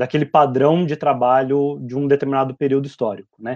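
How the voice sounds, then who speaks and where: Over a quiet background, a man with a fairly high pitch and a dark, mellow tone talks at a moderate pace in a monotone, flat way, the sound dry and close with no echo. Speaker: sociologist and professor. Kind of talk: live stream discussion.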